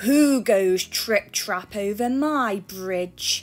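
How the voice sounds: A woman puts on a growling character voice at medium pitch. She speaks at a very slow pace over faint music in the background.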